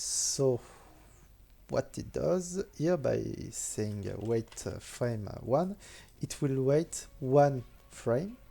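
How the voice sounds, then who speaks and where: The speaker has a French accent and talks at a very slow pace. Long pauses come often. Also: man. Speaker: game modder. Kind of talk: programming tutorial narration. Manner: hesitant, many filler sounds.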